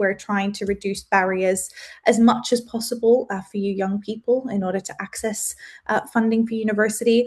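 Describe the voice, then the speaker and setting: A woman with an Australian accent speaks at a fairly high pitch with ordinary pitch variation. Her voice is somewhat breathy against a quiet background. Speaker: webinar presenter. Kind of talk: webinar presentation. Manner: fast.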